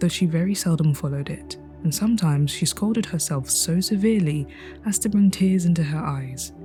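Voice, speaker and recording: A woman's very deep, low-pitched voice, calm in tone, with lively intonation and a fairly quick pace over music in the background. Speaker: storyteller. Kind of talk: reading aloud.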